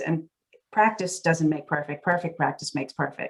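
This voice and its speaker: A woman with a Massachusetts accent and a fairly low pitch. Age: 60s. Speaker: real estate CEO. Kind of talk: interview conversation.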